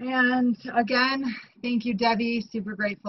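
In a normal speaking voice, a woman talks at a fairly slow pace with a fairly high pitch and fairly even intonation. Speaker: meeting host. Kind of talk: meeting chair remarks. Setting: video call.

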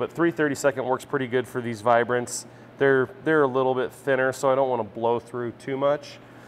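A man talks at a fairly quick pace with fairly even intonation. Light background noise sits behind him. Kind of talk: tutorial. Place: workshop.

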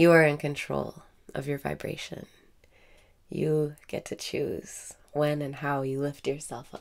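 Here a woman talks at a fairly slow pace. Her pitch is very deep and low. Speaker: meditation guide. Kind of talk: guided meditation. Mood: calm, warm, smiling. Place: home room. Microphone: webcam.

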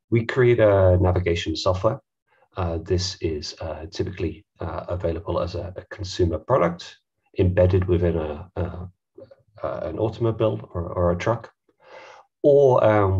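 Over a quiet background, a man talks at a moderate pace in a very deep, low, somewhat breathy voice with ordinary pitch variation. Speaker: head of data at tech company; presenter. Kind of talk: webinar presentation. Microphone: headset.

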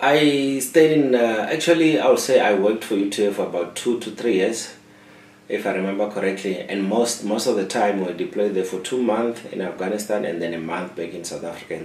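Audible room echo around a man's fairly low voice, fairly quick pace, big swings in loudness, and light background noise. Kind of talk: interview answer. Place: office.

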